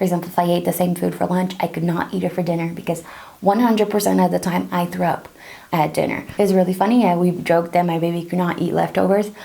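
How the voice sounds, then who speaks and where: Talking at a very fast pace, a woman with fairly low pitch keeps a monotone, flat intonation amid noticeable background noise. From Brazil. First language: Portuguese. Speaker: pregnancy tips vlogger. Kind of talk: casual tutorial. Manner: conversational, informal.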